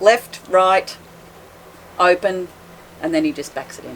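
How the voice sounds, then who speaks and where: Her medium-pitched voice, in an Australian accent, makes very wide pitch swings as this woman talks over noticeable background noise. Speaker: boat owner, liveaboard cruiser. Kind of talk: casual interview chat. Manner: loud voice.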